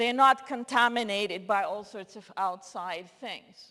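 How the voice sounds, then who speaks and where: With a Russian accent, a woman speaks with ordinary pitch variation. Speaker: linguist, lecturer. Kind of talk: lecture.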